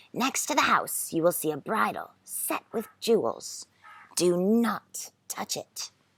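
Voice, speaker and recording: A female-sounding, raspy put-on character voice sits at a medium pitch for a woman. It moves at a fairly slow pace. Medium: read story. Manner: calm, instructive.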